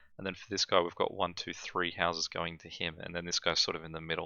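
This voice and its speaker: A man's very deep, low voice at a very fast pace, with an Australian accent. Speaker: gaming YouTuber. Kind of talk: gameplay commentary. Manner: calm; hesitant, many fillers.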